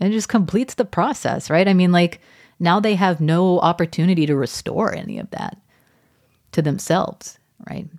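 A woman with an American accent and an unremarkable speaking voice talks at a moderate pace, her fairly low pitch showing ordinary variation amid big swings in loudness. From Texas, Arlington. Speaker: opinion journalist. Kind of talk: interview.

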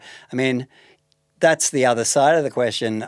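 This man talks at a fairly quick pace with an Australian accent. His pitch is medium and varies in an ordinary way. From Melbourne, Australia. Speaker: artist and novelist. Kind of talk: interview conversation.

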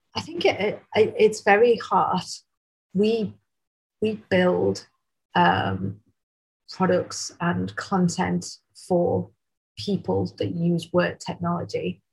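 A woman speaks in a Mancunian accent at a very slow pace. Long, frequent pauses break up her speech. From Manchester, England. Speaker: tech company founder and CEO. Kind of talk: casual interview.

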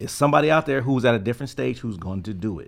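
A man is speaking. His intonation is lively. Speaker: DJ. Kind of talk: casual chat. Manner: smooth, cool and calm.

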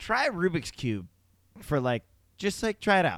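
A man speaks loudly at a very fast pace, his pitch swinging very widely. The sound is dry and close, with no echo. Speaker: podcast co-host. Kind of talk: casual chat.

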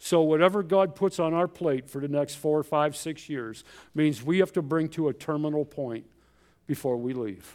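An ordinary speaking voice from a man, fairly high in pitch, with ordinary pitch variation at a moderate pace, on a very clean recording with a silent background. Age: 60s. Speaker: missionary pastor. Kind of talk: sermon. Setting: church.

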